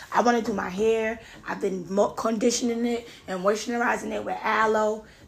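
The speaker is a woman with a fairly high pitch. Noticeable background noise can be heard. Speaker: podcaster. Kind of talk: casual podcast monologue.

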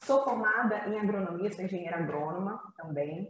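This woman has a normal speaking voice at medium pitch. She talks at a moderate pace. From Brazil, interior of Rio de Janeiro state (Campos dos Goytacazes). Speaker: entrepreneur. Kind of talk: casual interview.

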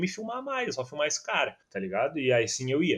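A man talks at a moderate pace with a Gaúcho Brazilian accent. His voice is somewhat breathy, with lively intonation. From southern Brazil, Gravataí. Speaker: football fan YouTuber and journalist. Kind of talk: casual chat.

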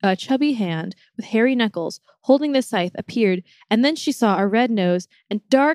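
Lively intonation marks an unforced reading voice, heard against a quiet background.

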